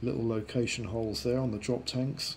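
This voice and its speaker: A somewhat breathy man talks at a medium pitch. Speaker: model kit reviewer. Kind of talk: tutorial. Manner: casual, rambling with fillers.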